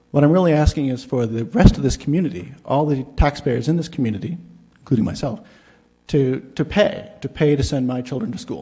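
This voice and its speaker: Somewhat breathy and fairly high for a man, his dark, mellow tone moves with lively intonation at a fairly quick pace. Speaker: university teacher, public commenter. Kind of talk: public comment at town meeting. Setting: town council meeting hall. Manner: halting, with fillers.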